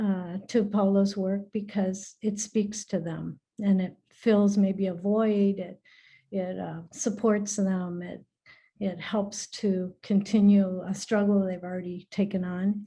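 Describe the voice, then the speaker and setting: At a very slow pace, a woman speaks in a somewhat breathy, dark, mellow tone, medium in pitch and monotone with flat intonation. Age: 60s. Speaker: retired educator, alumna. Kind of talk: personal testimony in a video call.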